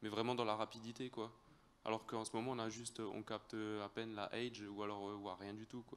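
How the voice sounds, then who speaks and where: A man with an Alsatian accent speaks at a fairly low pitch. His pace is fairly quick and his intonation monotone and flat. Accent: Alsatian French accent, noticeable. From Alsace, France. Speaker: audience member, farmer. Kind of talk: audience question. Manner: halting, many hesitations.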